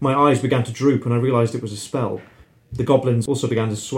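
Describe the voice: The intonation stays fairly even in this plain reading aloud.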